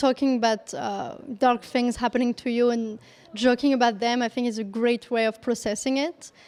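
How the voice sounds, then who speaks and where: With a French accent, a woman talks at a moderate pace in a high pitch with ordinary pitch variation. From France. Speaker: comedian. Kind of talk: interview. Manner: halting, many fillers.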